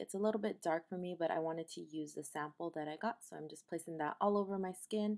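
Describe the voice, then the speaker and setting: A woman speaks with fairly low pitch and ordinary pitch variation. The background is quiet. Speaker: beauty vlogger. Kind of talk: casual vlog chat and makeup tutorial. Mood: warm, grateful. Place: home room. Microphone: camera far.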